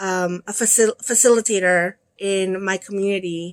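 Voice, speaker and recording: Flat and monotone, a woman speaks with an American accent. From El Salvador, moved to US at eight. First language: Spanish. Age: 50s. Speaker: crochet vlogger. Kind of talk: casual vlog talk to viewers.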